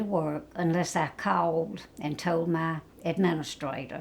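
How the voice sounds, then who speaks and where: A woman speaks with a South Carolina accent. Her pitch is fairly low and her pace fairly slow. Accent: Southern US (South Carolina). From US South, South Carolina (Florence). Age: 80s+. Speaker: retired nursing home activity director. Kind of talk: interview, life story.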